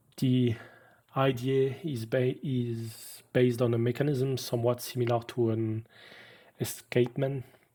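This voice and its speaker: A man speaks at a fairly slow pace in a medium-pitched voice with a dark, mellow tone and monotone, flat intonation. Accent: French. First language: French. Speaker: piano designer and technician. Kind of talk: webinar lecture.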